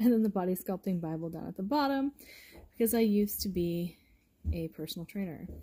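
A woman's dark, mellow, somewhat breathy voice at a fairly quick pace, with lively intonation, big swings in loudness and a quiet background. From Oklahoma, US (Tulsa); Oklahoma. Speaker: book youtuber. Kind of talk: casual home video tour. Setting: at home. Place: home room. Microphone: phone near.

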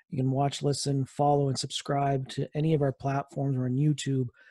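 Speaking at a fairly quick pace, a man uses monotone, flat intonation with a dark, mellow, somewhat breathy tone. The sound is dry with no echo, over a quiet background. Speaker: podcast host. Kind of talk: podcast intro.

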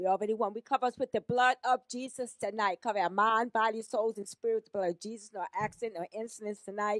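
Against a quiet background, a woman speaks very fast with fairly even intonation, and the sound is dry with no echo. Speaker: church member and author. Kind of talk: testimony. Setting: church. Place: church. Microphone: handheld.

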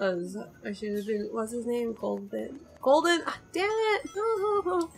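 A woman at a very slow pace against noticeable background noise. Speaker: gaming video creator. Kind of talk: let's play commentary. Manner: halting, self-correcting.

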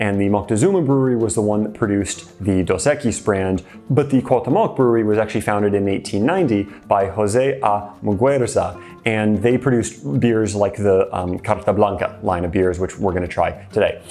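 A man speaks at a fairly low pitch while faint music plays in the background. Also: ordinary pitch variation, moderate pace. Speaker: beer review host. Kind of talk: casual vlog chat. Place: studio. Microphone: lapel.

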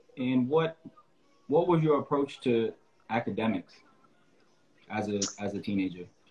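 An American-accented man talks at a moderate pace with lively intonation, leaving long, frequent pauses over faint background music. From upstate New York (Albany); New York. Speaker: podcast host, basketball coach. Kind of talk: interview. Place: home room. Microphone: video call.

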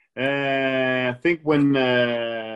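A man speaks with a Danish accent. The background is quiet. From Denmark. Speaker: professional badminton player; interviewee. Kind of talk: casual interview. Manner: hesitant, many fillers. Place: home room. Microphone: video call.

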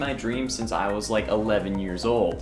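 This man talks at a fairly quick pace. Clear music plays in the background. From Canada. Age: 20s. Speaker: online host and streamer. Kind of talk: casual talk to camera.

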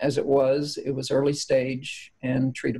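The voice is somewhat breathy, with a dark, mellow tone. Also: woman. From central Kentucky. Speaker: former politician, cancer survivor. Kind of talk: interview testimony. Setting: remote from her farmhouse. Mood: calm, reflective. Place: home room. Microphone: video call.

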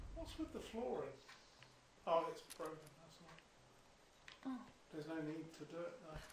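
Over audible room echo, a high-pitched man speaks at a moderate pace with long, frequent pauses and big swings in loudness. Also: lively intonation. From not New Zealand. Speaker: gaming co-commentator. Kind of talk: casual chat.

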